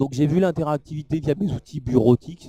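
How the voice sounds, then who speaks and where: In a dry, close recording with no echo, a man speaks at a fairly high pitch with ordinary pitch variation. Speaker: product presenter at trade show. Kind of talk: live product demo talk. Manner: fast.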